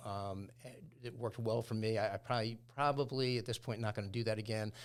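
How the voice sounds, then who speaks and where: This man speaks in a plain, everyday voice at a medium pitch, with fairly even intonation. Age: 60s. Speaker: company owner and president. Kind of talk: podcast interview.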